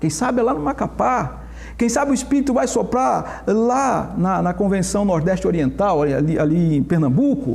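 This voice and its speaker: With audible room echo and noticeable background noise, a man speaks in a high pitch with very wide pitch swings, very even loudness, and a moderate pace. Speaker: pastor. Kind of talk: Bible study discussion. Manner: animated.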